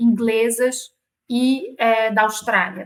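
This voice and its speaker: With a Rio de Janeiro accent, a woman talks in a fairly high pitch with monotone, flat intonation. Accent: carioca. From Rio de Janeiro, Brazil. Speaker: corporate lawyer. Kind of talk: interview.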